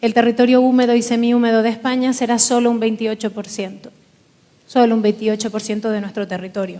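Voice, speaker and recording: A woman's fairly high voice, fairly quick in pace and flat, monotone in intonation. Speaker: politician. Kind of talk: panel forum speech. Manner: formal.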